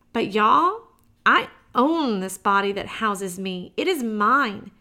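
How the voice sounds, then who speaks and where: A woman's fairly high, bright, sharp voice. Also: very clean recording, silent background. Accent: Southern US. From US South (Georgia). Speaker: podcast host, breast cancer survivor. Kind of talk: solo podcast monologue.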